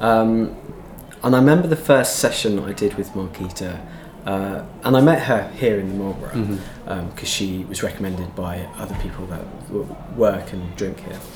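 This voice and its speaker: Big swings in loudness mark this man's fairly low voice, delivered at a moderate pace with ordinary pitch variation amid noticeable background noise and audible room echo. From Devon, England. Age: 30s. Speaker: LGBT police liaison officer. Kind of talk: casual interview conversation. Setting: theatre green room. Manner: hesitant, many fillers.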